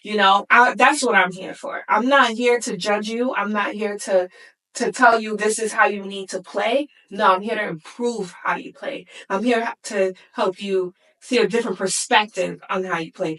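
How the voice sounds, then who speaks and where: With an American accent and a normal speaking voice, a woman talks at a moderate pace. Her pitch is fairly high and her intonation fairly even. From US Midwest, Indiana (Gary). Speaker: sports psychologist. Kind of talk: interview.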